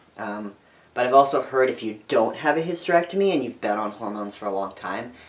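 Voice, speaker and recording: Noticeable background noise accompanies a man speaking with lively intonation. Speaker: vlogger, transgender man and teacher. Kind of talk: video diary. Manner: casual, hesitant.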